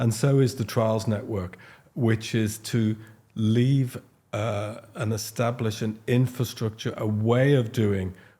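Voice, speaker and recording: A man's dark, mellow, somewhat breathy voice at medium pitch, very slow and monotone with flat intonation, in a very clean recording with a silent background. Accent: Liverpool. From Liverpool, England. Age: 60s. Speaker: paediatric haematologist. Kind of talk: podcast interview. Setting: studio sofa. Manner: halting, with fillers and restarts.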